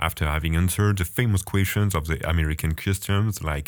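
A man speaks in a French accent. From France. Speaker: international student podcaster. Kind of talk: scripted personal narration, podcast storytelling.

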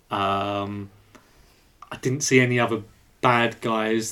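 A man speaks at a fairly slow pace with an English accent. His pitch is fairly low, and his intonation stays fairly even. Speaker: podcast co-host. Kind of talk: casual chat.

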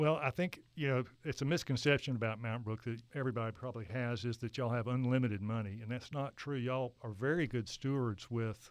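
Fairly quick pace from a man, an ordinary speaking voice at a medium pitch with ordinary pitch variation. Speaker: architect. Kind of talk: interview conversation.

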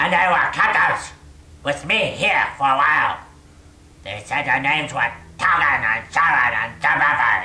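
A put-on character voice at a low-to-middle pitch and moderate pace, with long, frequent pauses. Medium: actual play. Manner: pleading, broken simple phrasing.

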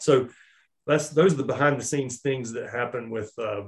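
A man with an American accent speaks in a somewhat breathy voice with fairly even intonation. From Charlotte, North Carolina. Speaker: small business owner, outdoor apparel company. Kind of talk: casual interview. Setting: remote recording.

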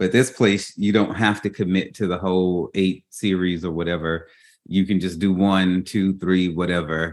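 A man with a Louisiana accent, his very deep, low pitch, his moderate pace. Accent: US Southern (Louisiana). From Baton Rouge, Louisiana. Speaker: podcast host and memoir author. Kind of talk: casual interview chat. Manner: animated.

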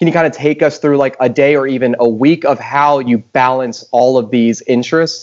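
Using an unremarkable speaking voice at a medium pitch, a man keeps a moderate pace, very even loudness and fairly even intonation. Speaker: podcast co-host. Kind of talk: casual chat.

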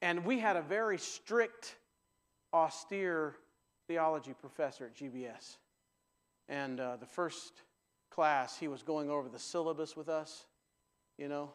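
A man at a fairly high pitch and fairly slow pace, with ordinary pitch variation, big swings in loudness and long, frequent pauses, on a very clean recording with a silent background. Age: 50s. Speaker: preacher. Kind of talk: sermon. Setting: church.

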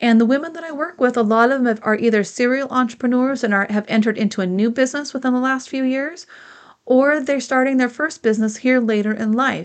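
Speaking at a very fast pace, a woman uses a high pitch with ordinary pitch variation. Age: 50s. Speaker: podcast host and business coach. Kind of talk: solo podcast monologue, advice talk.

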